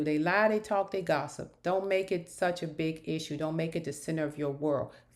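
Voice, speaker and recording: The speaker is a woman. Her accent is American. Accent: northern US, noticed by locals. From northern US. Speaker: YouTuber, reality TV commentator. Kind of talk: casual commentary monologue. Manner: animated.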